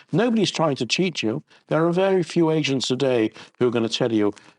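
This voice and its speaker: Against a quiet background, a man speaks at a moderate pace with very wide pitch swings in a dry, close sound with no echo. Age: 70s. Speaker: estate agent. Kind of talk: interview.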